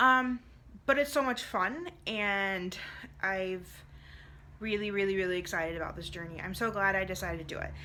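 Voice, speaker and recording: The voice has a bright, sharp tone, ordinary pitch variation and big swings in loudness. Long, frequent pauses come through with audible room echo. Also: woman, medium pitch for a woman. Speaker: direct sales consultant and vlogger. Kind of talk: vlog monologue. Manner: fast; casual, filler-heavy.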